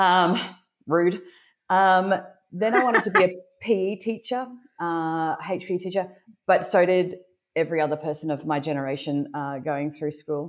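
Against a quiet background, a woman with a fairly low pitch speaks with long, frequent pauses. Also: ordinary pitch variation, moderate pace. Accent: Australian. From Brisbane, Australia. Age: 40s. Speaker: entrepreneur. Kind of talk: casual chat.

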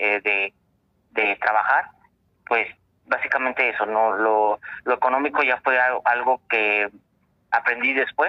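A man is talking. His pace is fairly slow. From Coahuila, Mexico. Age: 30s. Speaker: optometrist. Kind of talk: interview. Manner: halting.

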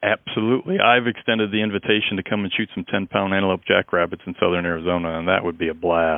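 Talking at a very fast pace with hardly any pauses, a man uses a very deep, low pitch and fairly even intonation. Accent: American. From Illinois, US. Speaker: wildlife biologist. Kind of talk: interview.

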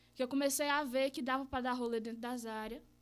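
A woman with a plain, everyday voice, fairly even intonation and a fairly quick pace. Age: 20s. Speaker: graffiti artist and teacher. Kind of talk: casual chat. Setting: live-streamed studio podcast.

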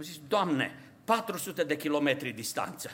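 A bright, sharp tone carries the voice. The background is silent and the recording very clean. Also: man. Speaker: pastor. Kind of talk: sermon. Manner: impassioned.

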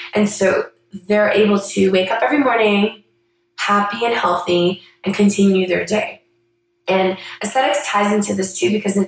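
Here is a woman with a normal speaking voice. Her pitch is medium and her pace moderate. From Canada. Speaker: physician and podcast host. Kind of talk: monologue introduction.

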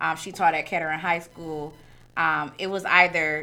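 Bright and sharp in tone, the voice moves at a moderate pace with fairly even intonation. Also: woman. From Detroit, east side. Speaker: high school teacher. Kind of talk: casual chat.

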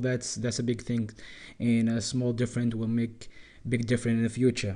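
A man with a non-native accent talks at medium pitch and a moderate pace. His tone is dark and mellow. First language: not English. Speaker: podcast host. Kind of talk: casual monologue. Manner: halting.

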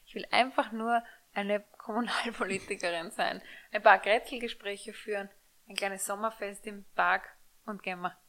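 A woman at medium pitch speaks in a bright, sharp tone with big swings in loudness. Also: fairly even intonation, moderate pace. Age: 30s. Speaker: podcast co-host. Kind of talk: casual chat. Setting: studio.

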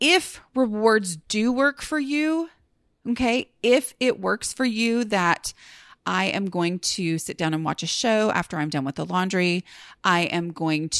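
This woman talks at a fairly slow pace and medium pitch, with very wide pitch swings. The recording is very clean and silent behind her, with a dry, close sound and no echo. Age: 40s. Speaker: podcast host and blogger. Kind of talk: casual solo podcast monologue. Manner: chatty, many fillers.

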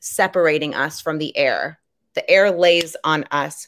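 Recorded very cleanly against a silent background, a woman with an American accent speaks at a fairly slow pace. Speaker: podcast co-host. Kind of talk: casual chat. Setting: live stream. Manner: humorous, brassy.

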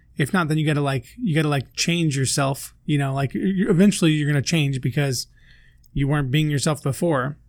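A man speaks at a moderate pace, his fairly high voice somewhat breathy. The recording is very clean, with a silent background. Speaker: podcast co-host. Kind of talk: casual chat. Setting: studio.

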